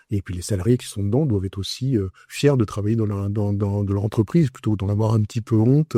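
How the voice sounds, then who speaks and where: A man talks at a very fast pace in a dark, mellow, somewhat breathy voice with fairly even intonation. The sound is dry and close with no echo, over a quiet background. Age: 70s. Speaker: entrepreneur, communications agency founder. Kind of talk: interview.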